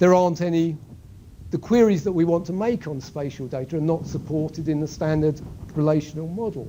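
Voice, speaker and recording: With audible room echo, a man's speech rings through the space. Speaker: university lecturer. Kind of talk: lecture. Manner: halting.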